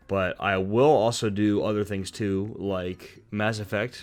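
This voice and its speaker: The recording is very clean, with a silent background. A man speaks at a fairly low pitch in a monotone, flat intonation. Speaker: gaming video creator. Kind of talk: scripted narration; casual chat. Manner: halting.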